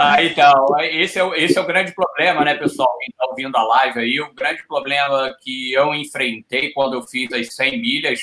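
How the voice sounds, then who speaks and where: An unremarkable speaking voice at a moderate pace, with hardly any pauses and ordinary pitch variation. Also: man. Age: 50s. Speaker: ultra-distance athlete. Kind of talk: casual chat.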